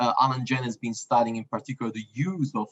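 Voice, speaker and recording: A man speaks with an Italian accent and fairly even intonation. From Italy. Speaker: university researcher. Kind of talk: panel discussion. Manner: hesitant, many fillers.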